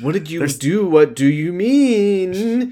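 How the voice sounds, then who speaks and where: A put-on character voice at a middle pitch moves along at a very slow pace. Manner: worried.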